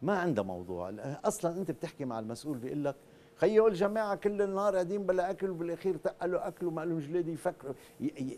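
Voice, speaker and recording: A man's fairly high voice with a dark, mellow tone, very wide pitch swings and a moderate pace. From Lebanon. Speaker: TV drama writer and producer; guest. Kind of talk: TV talk show interview. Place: studio. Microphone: lapel.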